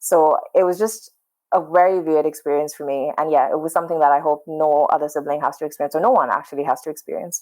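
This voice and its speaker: In a Pakistani accent, a woman talks at a very fast pace with a very deep, low pitch and ordinary pitch variation. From Pakistan, Karachi. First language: Urdu. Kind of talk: casual interview conversation.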